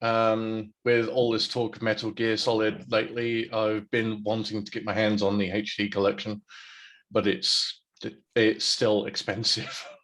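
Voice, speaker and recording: A man in a British accent at a very slow pace. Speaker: Twitch variety streamer. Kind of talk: casual chat.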